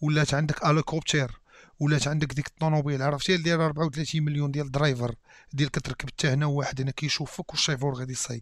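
The speech comes at a very fast pace with a Moroccan accent, in a dry sound with no echo. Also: man. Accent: Moroccan Darija. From Morocco. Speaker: YouTube reactor. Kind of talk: reaction video commentary. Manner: animated. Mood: joking, amused. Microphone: headset.

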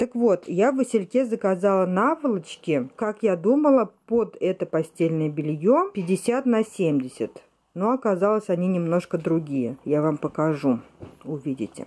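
With a dark, mellow tone and a fairly low pitch, a woman speaks at a fairly slow pace as her voice makes very wide pitch swings. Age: 30s. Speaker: vlogger and mother; vlogger. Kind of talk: home vlog, casual talk to viewers. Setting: at home in bedroom. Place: home room. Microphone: phone near.

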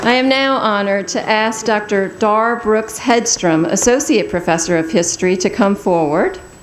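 A woman speaks at a moderate pace with lively intonation and hardly any pauses. Her loudness stays very even over noticeable background noise. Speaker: university president presiding over commencement. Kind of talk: formal commencement ceremony, announcing presenters and conferring degrees. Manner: formal, ceremonial, measured.

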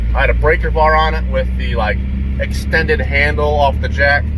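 The man speaks at a moderate pace with ordinary pitch variation. The sound is dry with no echo, but background noise is noticeable. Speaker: truck owner vlogger. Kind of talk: casual vlog chat. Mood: relaxed, joking. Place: car. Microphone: phone near.

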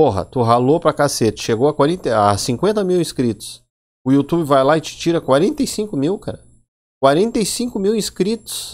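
A man speaks at a fairly slow pace with a fairly high pitch. His pitch swings very widely, and the background is quiet. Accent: Rio Grande do Sul. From Brazil, Rio Grande do Sul (Porto Alegre). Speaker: YouTuber, Linux tech channel host; tech channel host. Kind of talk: casual vlog monologue. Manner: animated.

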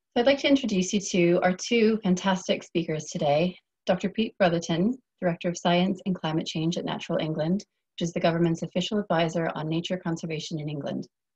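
At a very fast pace, a woman talks in a fairly low pitch with a somewhat breathy voice. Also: ordinary pitch variation. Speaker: event host. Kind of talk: webinar moderation. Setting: video call.

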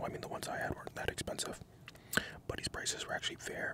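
A man is whispering. The whole clip is whispered. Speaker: ASMR creator. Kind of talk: casual vlog chat. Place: car. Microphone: studio mic.

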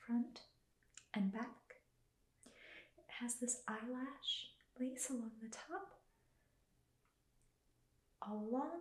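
Soft-spoken and gentle in tone, a woman speaks at a very slow pace in a high pitch, with audible room echo. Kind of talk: soft-spoken clothing presentation to a viewer. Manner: soft-spoken, gentle ASMR voice. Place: home room. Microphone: phone near.

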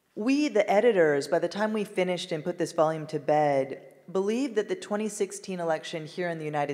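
Over a quiet background, a woman speaks in a normal speaking voice at a moderate pace, with a fairly low pitch and ordinary pitch variation. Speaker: economist and book editor moderating the panel. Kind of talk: moderated panel discussion. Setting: stage with live audience. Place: hall. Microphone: handheld.

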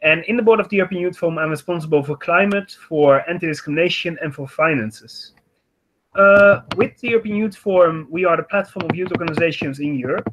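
Very fast, high-pitched male speech over light background noise. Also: ordinary pitch variation. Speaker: youth organization representative; panelist. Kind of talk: online panel discussion. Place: home room. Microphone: webcam.

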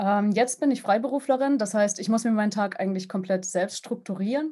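Against a quiet background, a somewhat breathy woman with fairly high pitch speaks at a fairly quick pace with ordinary pitch variation. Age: 20s. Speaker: sound designer and game composer. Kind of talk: interview. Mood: friendly, smiling. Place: home room. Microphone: video call.

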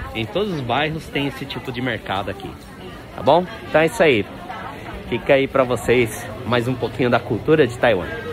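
A man with a medium pitch talks at a moderate pace with ordinary pitch variation, long and frequent pauses, big swings in loudness, audible room echo, and crowd noise in the background. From Brazil. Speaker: vlogger. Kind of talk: walking vlog tour. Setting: outdoors at street market. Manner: casual, chatty.

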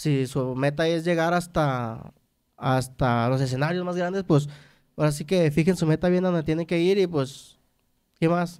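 With ordinary pitch variation, the man goes at a moderate pace, and nothing much is heard behind him. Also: fairly high pitch for a man. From Mexico, Nayarit. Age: 30s. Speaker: trumpet player in a regional Mexican band; guest. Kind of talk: interview. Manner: halting, repeats words. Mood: relaxed, casual. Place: studio. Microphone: studio mic.

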